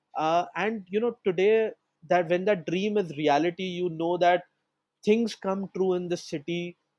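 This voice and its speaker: Speaking at a fairly slow pace, a man uses a high pitch for a man with ordinary pitch variation. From India, Mumbai. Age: 30s. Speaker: entrepreneur. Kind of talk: podcast interview.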